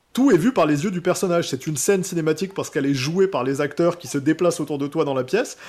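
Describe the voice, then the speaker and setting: A man talks at a very fast pace. His pitch is fairly high and varies in an ordinary way. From France, Alsace. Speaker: video game transmedia director. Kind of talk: casual chat.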